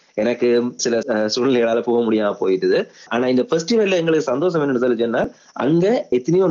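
A man speaks with a Sri Lankan accent. His medium pitch shows ordinary variation. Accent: Sri Lankan Tamil. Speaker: film director. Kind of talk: interview.

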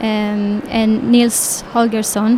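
Over noticeable background noise, a woman talks at a fairly high pitch with flat, monotone intonation. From Israel. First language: Hebrew (speaking German). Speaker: children's book illustrator. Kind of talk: interview.

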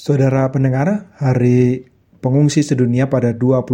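Keeping his intonation fairly even, a man speaks in a plain, everyday voice at medium pitch and a fairly slow pace. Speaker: radio host. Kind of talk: radio interview. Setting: phone call.

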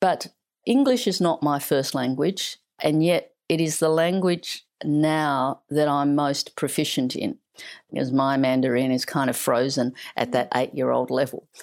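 A woman speaks at a fairly slow pace with a low pitch, ordinary pitch variation and a slightly mellow tone.

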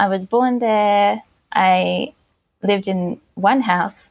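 A woman speaks in an Australian accent at a medium pitch. Her pitch varies in an ordinary way. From Australia (Victoria). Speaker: researcher. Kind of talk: podcast interview.

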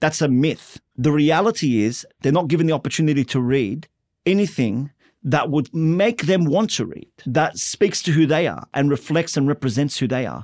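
Fairly high male voice in an Australian accent, lively in intonation, at a moderate pace, with a dry, close sound and no echo. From Western Sydney, Australia. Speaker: novelist and playwright. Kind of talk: interview.

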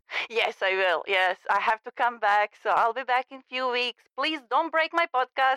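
A woman with a non-native accent speaks in a high, bright, sharp tone with lively intonation and hardly any pauses. The sound is dry and close, with no echo. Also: moderate pace, big swings in loudness. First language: not English. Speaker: podcast host, migrant. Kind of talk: casual chat. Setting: phone call.

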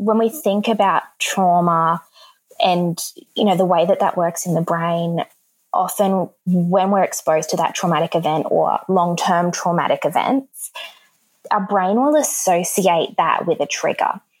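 Speaking with an Australian accent, a woman keeps a fairly slow pace, medium pitch, ordinary pitch variation and very even loudness. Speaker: counsellor and speech pathologist. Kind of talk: interview.

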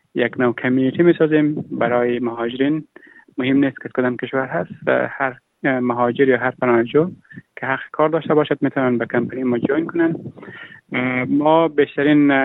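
With fairly even intonation and a medium pitch, the man talks at a fairly quick pace. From Afghanistan. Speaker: refugee entrepreneur. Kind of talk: interview. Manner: halting.

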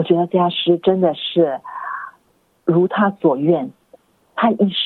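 A woman talks in a fairly low voice. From Singapore. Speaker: Buddhist nun and university academic. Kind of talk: interview.

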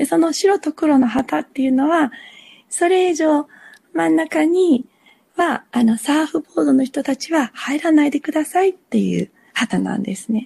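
A woman speaks at a moderate pace in a high voice with a dark, mellow tone and very wide pitch swings, recorded dry and close with no echo. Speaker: lifesaver. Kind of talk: interview.

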